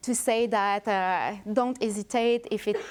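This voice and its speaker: On a very clean recording with a silent background, a woman of medium pitch speaks with fairly even intonation. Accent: strong French. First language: French. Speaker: researcher. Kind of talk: lecture. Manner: halting.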